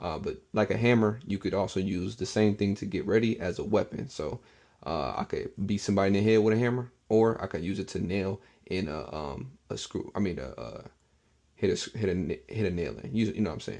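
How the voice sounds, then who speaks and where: A man with a fairly low pitch and a dark, mellow tone talks at a fairly quick pace, using vocal fry and ordinary pitch variation. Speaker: bible language teacher. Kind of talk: casual tutorial.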